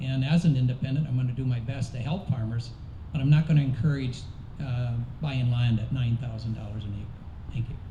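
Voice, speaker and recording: The pitch varies in an ordinary way at a fairly quick pace. Audible room echo surrounds the voice. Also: man, medium pitch for a man. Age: 60s. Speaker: political candidate. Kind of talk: candidate forum answer.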